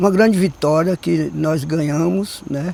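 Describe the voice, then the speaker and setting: Very slowly, a man speaks with a fairly high pitch. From southern Bahia, Brazil (Olivença). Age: 80s+. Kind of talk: documentary interview. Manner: halting.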